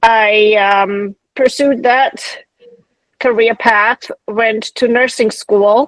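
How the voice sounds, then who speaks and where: Speaking at a very slow pace, a woman keeps her intonation fairly even and her loudness very even, in a dry, close sound with no echo. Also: fairly high pitch for a woman. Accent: German. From Germany, Munich suburb. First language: German. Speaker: nurse practitioner, clinic owner. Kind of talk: podcast interview.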